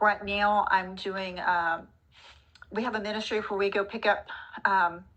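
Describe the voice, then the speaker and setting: With a Texan accent and a bright, sharp tone, the speaker uses monotone, flat intonation at a fairly slow pace, with long, frequent pauses. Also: woman, medium pitch for a woman. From Texas, Dallas. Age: 60s. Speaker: retiree. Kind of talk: casual chat.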